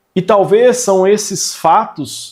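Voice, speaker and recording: Lively intonation runs through this man's speech. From Brazil, São Paulo state (Vale do Paraíba). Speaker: manual therapy instructor. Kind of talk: online lecture. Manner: conversational, emphatic.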